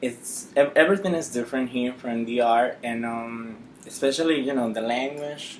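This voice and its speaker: A man with a Dominican accent, medium pitch, ordinary pitch variation and a moderate pace. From Dominican Republic, Santo Domingo. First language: Spanish. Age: 20s. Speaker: nurse. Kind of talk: interview.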